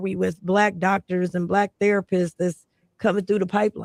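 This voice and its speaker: A woman with an American accent speaks at a medium pitch in a dry, close sound with no echo. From US, Cincinnati, Ohio. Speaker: radio host. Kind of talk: radio interview. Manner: casual, halting with fillers.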